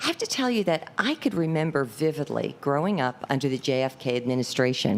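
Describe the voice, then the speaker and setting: Over noticeable background noise, a woman speaks at a very deep, low pitch with very wide pitch swings. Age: 60s. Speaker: public commenter. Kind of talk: unprepared public comment.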